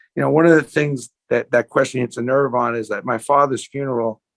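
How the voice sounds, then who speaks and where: A New York accent at a fairly quick pace, with monotone, flat intonation. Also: man. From US Northeast (Brooklyn, New York). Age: 60s. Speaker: sports memorabilia entrepreneur. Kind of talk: interview conversation.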